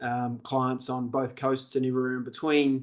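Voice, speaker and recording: A man with a New Zealand accent against a quiet background. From New Zealand, Auckland. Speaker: leadership development presenter. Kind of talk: webinar presentation. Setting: video call. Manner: casual, conversational.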